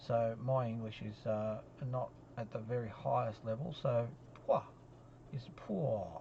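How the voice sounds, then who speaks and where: Speaking with an Australian accent at a medium pitch, a man leaves long, frequent pauses amid audible room echo and noticeable background noise. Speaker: statistics lecturer. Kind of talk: recorded lecture. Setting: solo lecture recording. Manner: halting, many fillers.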